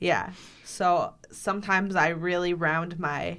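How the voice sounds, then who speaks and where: With an American accent, a woman speaks at a very slow pace in a monotone, flat intonation and fairly low pitch, with audible room echo around her. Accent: slight Canadian-sounding vowels at times. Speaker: podcast co-host. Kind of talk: casual chat.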